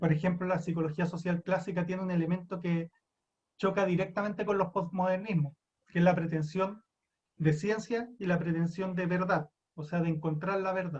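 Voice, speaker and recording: A man's high-pitched, monotone, flat delivery at a moderate pace. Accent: Chilean. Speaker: psychology lecturer. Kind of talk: lecture.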